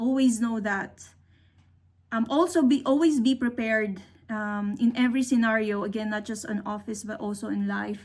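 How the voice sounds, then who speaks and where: A woman's fairly high voice comes across somewhat breathy at a moderate pace. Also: ordinary pitch variation. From Philippines. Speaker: engineer. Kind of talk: career talk.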